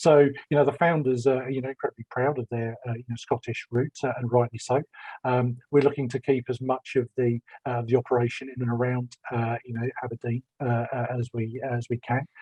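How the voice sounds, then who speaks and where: In a London accent, a man with medium pitch speaks fairly quickly, somewhat breathy and monotone, flat in intonation. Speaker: business development executive. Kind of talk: panel discussion.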